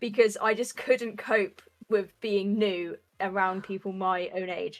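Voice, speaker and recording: With a British accent, a woman talks at a medium pitch. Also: fairly even intonation. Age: 20s. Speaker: roller derby player and coach. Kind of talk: casual chat. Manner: halting, with many fillers.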